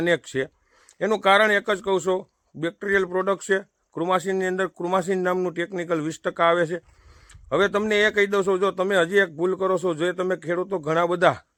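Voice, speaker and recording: The recording is very clean, with a silent background and a dry, close sound with no echo, as a man speaks in a high, bright, sharp voice. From Saurashtra, Gujarat (Junagadh district). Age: 30s. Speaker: farmer giving crop advice. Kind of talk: farming advice vlog. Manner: animated.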